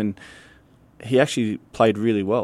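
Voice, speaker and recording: A man speaks with an Australian accent and monotone, flat intonation. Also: very clean recording, silent background. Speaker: soccer head coach. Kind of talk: radio interview.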